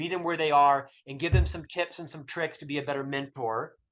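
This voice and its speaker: Animated and bright with a sharp edge, a man's fairly high voice carries an American accent. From US South. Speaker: author. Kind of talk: podcast interview.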